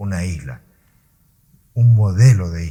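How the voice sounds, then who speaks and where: Speech comes at a fairly slow pace with a somewhat breathy quality. The tone is dark and mellow. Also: man. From Canary Islands, Gran Canaria. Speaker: interviewer. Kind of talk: interview. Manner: halting, voice sometimes breaks.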